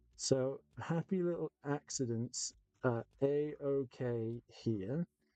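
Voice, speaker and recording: In an English accent, a man speaks at a medium pitch with a dark, mellow tone and ordinary pitch variation, the sound dry and close with no echo. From England. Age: 30s. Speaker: miniature painting streamer. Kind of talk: casual live-stream chat while painting. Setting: live stream.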